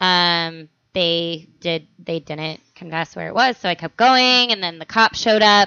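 In an American accent, a woman talks with a normal speaking voice at a fairly low pitch and ordinary pitch variation. Her pace is fairly slow, with hardly any pauses. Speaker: podcast host. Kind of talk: casual comedic chat.

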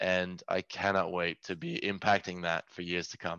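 A man speaks at a very deep, low pitch. His delivery is monotone and flat, at a moderate pace. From rural Norway. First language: Norwegian. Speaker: tech company CEO. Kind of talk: podcast interview. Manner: halting, with many repeated words.

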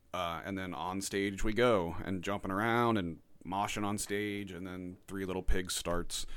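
Here is a man with an unremarkable speaking voice. He talks at a fairly slow pace with fairly even intonation. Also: fairly low pitch for a man. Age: 30s. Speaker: podcast host. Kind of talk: casual chat.

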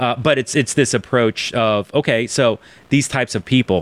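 The man's voice comes across dry and close, with no echo. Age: 40s. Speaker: digital church planting director. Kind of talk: interview webcast. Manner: animated.

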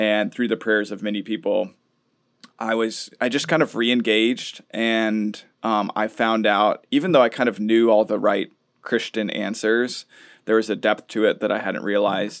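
This is an ordinary speaking voice. It has fairly even intonation and a moderate pace. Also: man. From US Midwest (Minnesota). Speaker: New Testament professor. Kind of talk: casual interview.

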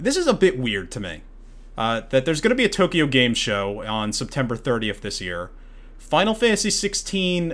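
His voice sits fairly high with vocal fry, and this man's pitch swings very widely at a moderate pace. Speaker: podcast host. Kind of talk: casual chat.

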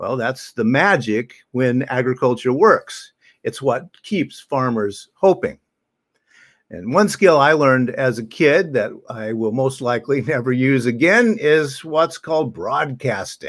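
In a plain, everyday voice with an American accent, a man at medium pitch speaks at a fairly slow pace with lively intonation, recorded very cleanly against a silent background. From US Midwest, southern Illinois. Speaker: minister. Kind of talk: sermon.

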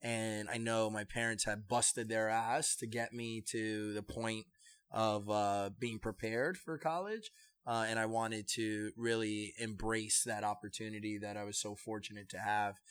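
A man's normal speaking voice, fairly low in pitch, at a moderate pace with fairly even intonation. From New York, the Bronx. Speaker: salsa project founder and brewery manager. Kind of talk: interview conversation.

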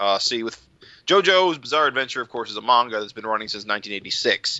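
Speaking at a fairly quick pace, a man has an unremarkable speaking voice, a medium pitch and ordinary pitch variation. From upstate New York. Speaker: podcast host. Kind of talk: casual chat.

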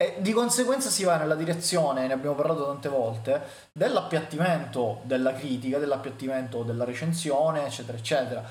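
A man in a southern Italian accent, fairly high in pitch, very fast, with ordinary pitch variation, audible room echo and noticeable background noise. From Southern Italy. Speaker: video game critic. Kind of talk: casual chat.

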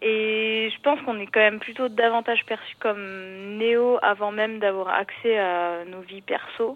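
A woman talks in an ordinary speaking voice, fairly high in pitch, with fairly even intonation. Her pace is fairly slow, with big swings in loudness. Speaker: collective farm member. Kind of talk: casual chat. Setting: phone call. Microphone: landline phone.

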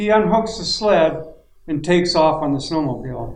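A man with an Upper Midwest accent, fairly high-pitched with ordinary pitch variation, at a moderate pace amid audible room echo. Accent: Upper Midwest American. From northern Minnesota. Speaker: outdoor magazine editor. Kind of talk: roundtable chat. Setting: hunting camp.

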